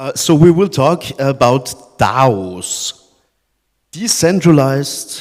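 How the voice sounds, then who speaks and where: A man with a German accent at a very slow pace and a medium pitch. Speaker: podcast host, interviewer on stage. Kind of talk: live panel interview. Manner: halting.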